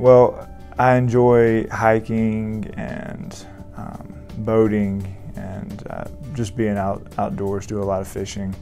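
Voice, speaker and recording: A man with a Southern US accent and fairly low pitch, very slow pace, fairly even intonation, big swings in loudness, and faint music in the background. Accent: Southern American. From Augusta, Georgia, USA. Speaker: family medicine resident doctor. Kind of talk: interview answer. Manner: hesitant, many fillers. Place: office. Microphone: lapel.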